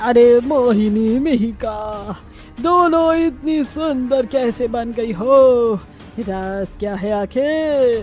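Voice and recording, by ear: A female-sounding cartoonish character voice, pitched high and speaking very slowly. Background noise is clearly audible.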